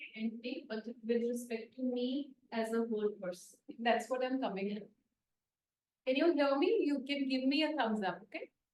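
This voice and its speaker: A woman's high-pitched voice with ordinary pitch variation and long, frequent pauses. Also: moderate pace. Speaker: therapist leading a healing group. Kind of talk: group workshop talk. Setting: in-person group with online participants. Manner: louder than usual.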